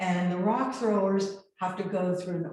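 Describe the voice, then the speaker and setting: A woman talks at a fairly slow pace. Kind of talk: live lecture presentation. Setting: video call.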